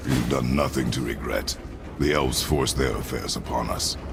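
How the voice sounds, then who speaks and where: A man performs a put-on character voice. Loud background noise runs behind him. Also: moderate pace. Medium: machinima. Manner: terse, gruff.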